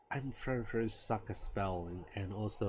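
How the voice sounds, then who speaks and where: This man talks at a moderate pace with a fairly low pitch and a somewhat breathy sound. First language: not English. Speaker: game developer streamer. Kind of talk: casual live stream talk. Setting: live stream. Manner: halting, many restarts and fillers.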